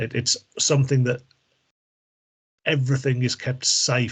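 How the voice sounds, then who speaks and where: A man talks in an English accent. The background is quiet. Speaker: medical device trainer. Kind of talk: training presentation. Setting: video call.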